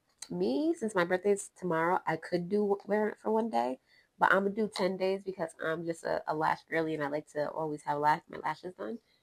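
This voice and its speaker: Recorded very cleanly against a silent background, a woman speaks at a fairly quick pace in a fairly low pitch with ordinary pitch variation, the sound dry and close with no echo. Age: 20s. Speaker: beauty vlogger. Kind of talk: makeup tutorial. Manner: casual, chatty with self-noted stumbles.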